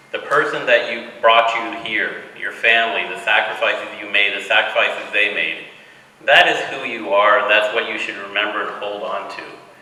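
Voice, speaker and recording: The speaker has an American accent and a moderate pace, with big swings in loudness. Audible room echo and noticeable background noise are present. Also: man. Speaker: hospital director. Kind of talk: speech to new medical students.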